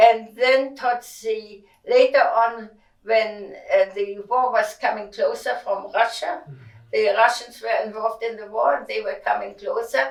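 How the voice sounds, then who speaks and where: A woman with a German accent speaks at a fairly slow pace, her loudness swinging widely. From Germany. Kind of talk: interview answer.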